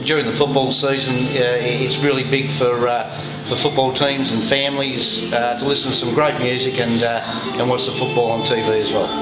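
Over clear background music, the speaker goes at a moderate pace. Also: man. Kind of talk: interview answer. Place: bar. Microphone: phone near.

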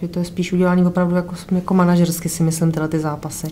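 A woman with a fairly low pitch talks at a very fast pace amid noticeable background noise. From Karlovy Vary. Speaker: boxer's wife. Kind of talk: casual chat.

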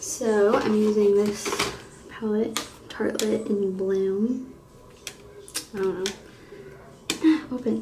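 A woman is heard with light background noise. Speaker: beauty vlogger. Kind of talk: casual makeup tutorial chat. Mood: relaxed, light laughter. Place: bathroom. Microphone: phone near.

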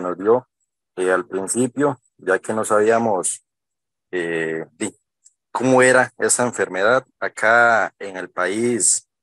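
The speech goes at a very slow pace, with a dry sound with no echo and a quiet background. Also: man. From Costa Rica. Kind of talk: testimony. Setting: video call. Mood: grateful, earnest. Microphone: video call.

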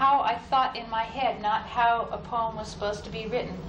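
A woman speaks at a fairly slow pace with audible room echo and light background noise. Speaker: poet. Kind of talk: casual spoken introduction to audience. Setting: live reading in a university hall. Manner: hesitant, thoughtful, with fillers. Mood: thoughtful, reflective. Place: studio. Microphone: old recording.

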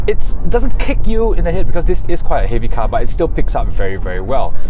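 Faint music sits behind a man whose voice has a dry sound with no echo. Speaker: car reviewer. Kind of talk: car review commentary. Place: car. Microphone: lapel.

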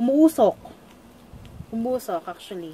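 Faint music plays behind a woman as she talks. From Philippines. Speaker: beauty vlogger. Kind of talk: product tutorial vlog. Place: home room. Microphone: phone near.

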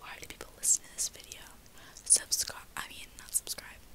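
A woman is heard here. She is whispering. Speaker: vlogger. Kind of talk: casual vlog chat. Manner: soft, hushed ASMR-style talk. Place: home room. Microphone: phone near.

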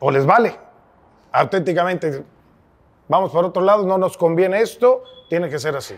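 This man has a high-pitched voice. He talks at a moderate pace with ordinary pitch variation. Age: 50s. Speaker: podcast host, sports journalist; podcast host. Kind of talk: interview conversation; interview question and conversation. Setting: brewery. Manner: halting, repetitive. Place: bar.

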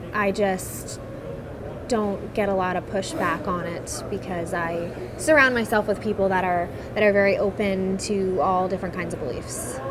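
Noticeable background noise runs under a woman's medium-pitched voice. She keeps a moderate pace with ordinary pitch variation. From eastern Pennsylvania, Bethlehem; Pennsylvania. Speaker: patient advocate, secular activist. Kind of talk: personal testimony interview. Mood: calm, reflective. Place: hall.

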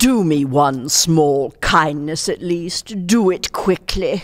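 A put-on character voice sits at a middle pitch. The pace is very slow. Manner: cold, calm, menacing.

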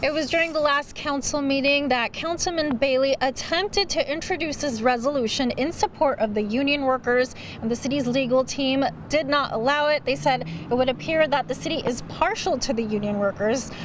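A woman with a high pitch and ordinary pitch variation is heard in a dry sound with no echo over light background noise. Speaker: TV news reporter. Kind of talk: news report stand-up. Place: street. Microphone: handheld.

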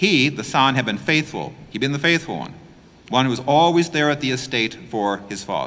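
This man talks at a moderate pace with lively intonation, vocal fry and a bright, sharp tone. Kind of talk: homily preaching. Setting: church. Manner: explanatory, emphatic, earnest; plain-spoken, conversational. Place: church.

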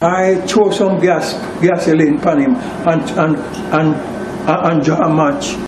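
Against noticeable background noise, a man with a high pitch speaks at a very slow pace with fairly even intonation. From Jamaica. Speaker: person accused in a news story. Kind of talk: interview answer. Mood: defensive, explaining himself. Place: street. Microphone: handheld.

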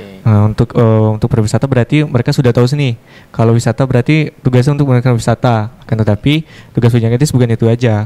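A man speaks at a very fast pace in a dark, mellow tone. His loudness stays very even, and his intonation is fairly even. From Batanghari, Jambi, Indonesia; Jambi, Indonesia. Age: 20s. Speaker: pageant winner, martial artist; guest. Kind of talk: TV talk show interview. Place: studio. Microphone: handheld.

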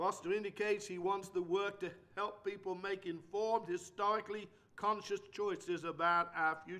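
In a raised, projected voice, a man speaks at a high pitch with a bright, sharp tone and flat, monotone intonation. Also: moderate pace. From England. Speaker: preacher. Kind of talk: lecture. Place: church. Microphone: podium.

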